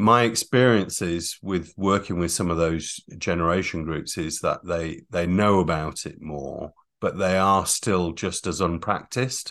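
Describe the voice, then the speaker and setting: In a northern English accent, a man with a very deep, low pitch and ordinary pitch variation speaks at a fairly slow pace with hardly any pauses against a quiet background. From northern England (North Yorkshire, Catterick). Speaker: emotional intelligence coach. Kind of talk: interview.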